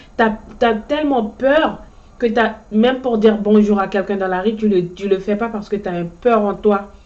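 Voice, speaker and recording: At a moderate pace and medium pitch, a woman talks with fairly even intonation over noticeable background noise. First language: Ndyuka (Djuka) (speaking French). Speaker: motivational vlogger. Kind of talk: motivational monologue. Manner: halting, frequent repetitions.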